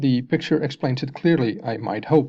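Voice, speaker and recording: Someone speaks at a moderate pace with a slight Dutch accent. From Netherlands. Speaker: science video maker. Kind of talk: explanatory video narration.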